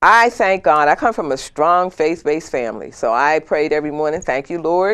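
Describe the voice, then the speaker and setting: Against a quiet background, a woman speaks at a fairly quick pace in a very deep, low pitch with lively intonation. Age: 60s. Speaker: HIV-positive woman sharing her story. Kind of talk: talk show interview.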